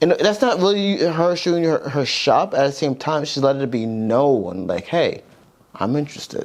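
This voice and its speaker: A man speaks at a moderate pace in a fairly high voice, with noticeable background noise. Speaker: podcast co-host. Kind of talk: casual chat.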